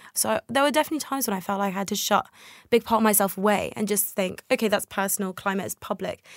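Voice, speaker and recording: A woman with a British accent talks very fast at a medium pitch, her pitch moving in an ordinary way. The recording is very clean with a silent background, and the sound is dry and close with no echo. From England. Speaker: climate justice activist. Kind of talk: interview. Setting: studio.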